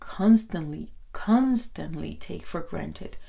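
A woman with a Spanish accent speaks very slowly in a warm tone. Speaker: podcast host. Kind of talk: solo podcast monologue. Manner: warm, friendly, conversational; somewhat hesitant with fillers.

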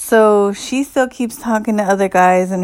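The voice belongs to a woman. Its pitch rises and falls in an ordinary way. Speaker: podcaster. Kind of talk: angry rant, profane and fired up. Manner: animated.

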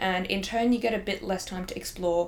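Someone speaks at a fairly quick pace in an Australian accent, with ordinary pitch variation. Noticeable background noise runs under the voice. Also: woman. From Hong Kong. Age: 20s. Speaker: law student. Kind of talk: casual interview chat.

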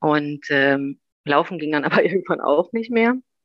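A woman speaks with a very deep, low pitch and lively intonation. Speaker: new mother sharing birth story. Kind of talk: interview, personal testimony.

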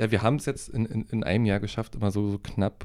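This man's voice is fairly low, with a dark, mellow tone. He talks at a very fast pace. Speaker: podcast co-host. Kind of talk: casual chat.

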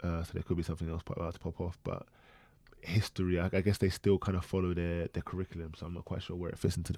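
Over a silent background in a very clean recording, a man with a very deep, low pitch and a dark, mellow tone talks at a very fast pace, the sound dry and close with no echo. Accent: London. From south London. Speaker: podcast co-host. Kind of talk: casual chat.

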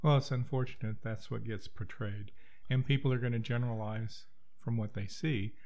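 A man with an American accent speaks at a moderate pace and medium pitch. His voice is somewhat breathy, with ordinary pitch variation. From Kansas (Wichita). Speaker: guest on discussion podcast. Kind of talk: casual discussion. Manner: halting, repeats words.

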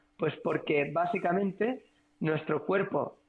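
This man's voice sits high, with ordinary pitch variation. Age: 30s. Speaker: physiotherapist. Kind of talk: casual chat.

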